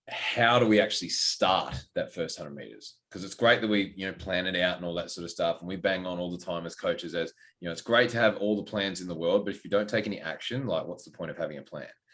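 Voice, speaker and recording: A man with an Australian accent, very deep and low in pitch, talking at a very fast clip with hardly any pauses, ordinary pitch variation and big swings in loudness. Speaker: fitness coach and podcast co-host. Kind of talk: casual podcast chat. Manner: loud, outgoing.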